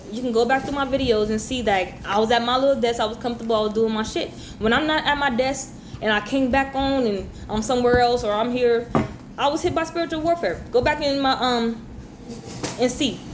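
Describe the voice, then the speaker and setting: Over noticeable background noise and audible room echo, a woman speaks at a fairly quick pace. Her high voice sounds animated, with ordinary pitch variation. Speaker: tarot reader. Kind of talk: tarot reading monologue.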